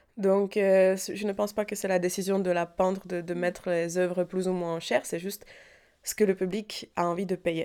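A woman with a dark, mellow tone speaks at medium pitch in a monotone, flat intonation, on a very clean recording with a silent background. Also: moderate pace. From Czech Republic, Prague. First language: Czech (speaking French). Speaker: painter. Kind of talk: interview. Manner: hesitant.

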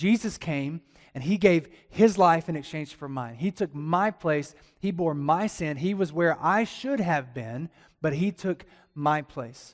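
Over a silent background in a very clean recording, a man with a Southern US accent speaks fairly slowly in a fairly high, animated voice with ordinary pitch variation. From Alabama. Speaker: pastor. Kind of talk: sermon. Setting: church with congregation.

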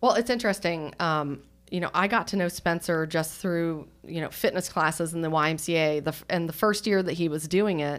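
With an unremarkable speaking voice, a woman talks at a moderate pace in a fairly low pitch and fairly even intonation, on a very clean recording with a silent background. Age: 40s. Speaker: nonprofit executive director. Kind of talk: casual interview.

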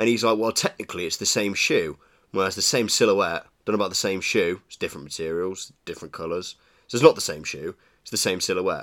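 A man with a British accent talks at a very fast pace, his loudness swinging widely. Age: 20s. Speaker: podcast co-host. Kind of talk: casual chat.

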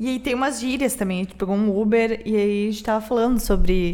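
Fairly quick delivery in a Porto Alegre accent, with fairly even intonation. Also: woman. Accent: gaúcho Porto Alegre Portuguese. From Rio Grande do Sul, Brazil. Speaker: podcast co-host. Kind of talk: casual chat.

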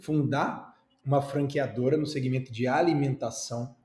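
A man's dark, mellow, somewhat breathy voice. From Brazil, Recife (Pernambuco). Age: 30s. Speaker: franchise entrepreneur and YouTuber. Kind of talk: interview. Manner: animated.

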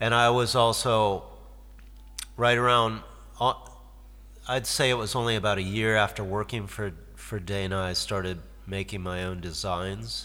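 A man's fairly low voice with a bright, sharp tone and a Midwestern American accent, at a moderate pace with fairly even intonation and long, frequent pauses. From US Midwest, Detroit. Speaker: guitarist and songwriter. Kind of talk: casual interview. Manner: halting.

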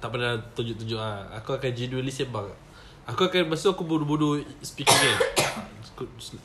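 A man with a Malaysian accent, medium pitch, a fairly quick pace and lively intonation. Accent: Malaysian Malay. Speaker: podcast co-host. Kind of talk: casual chat. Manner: animated.

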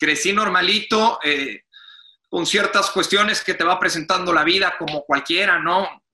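A man's raised, projected voice, high in pitch, with a Mexican accent, fairly even intonation and a fairly slow pace. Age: 30s. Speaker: sports journalist and commentator. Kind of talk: interview.

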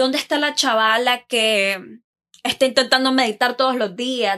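A woman's high-pitched voice with a bright, sharp tone comes through on a very clean recording with a silent background. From Nicaragua. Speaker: podcast host. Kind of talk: casual monologue. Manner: animated.

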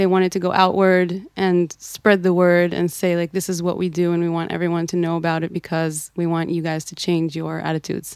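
In an Israeli accent, a woman speaks at a fairly quick pace with a fairly low pitch and monotone, flat intonation. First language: Hebrew. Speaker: podcast host and activist. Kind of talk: interview conversation.

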